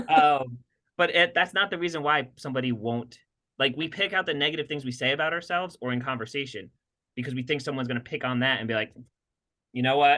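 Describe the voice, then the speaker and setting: Animated in tone, a man speaks very fast at a fairly high pitch, with ordinary pitch variation. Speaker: podcast co-host, health practitioner working with patients. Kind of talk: casual conversational podcast chat.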